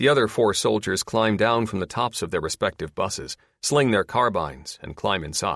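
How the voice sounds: The pitch varies in an ordinary way. The speaker uses a natural reading voice.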